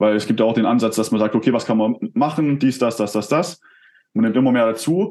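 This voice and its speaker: At a fairly quick pace, a man speaks at medium pitch in a dark, mellow tone, with ordinary pitch variation. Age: 20s. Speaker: entrepreneur and performance coach. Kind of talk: casual interview. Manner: hesitant, many fillers.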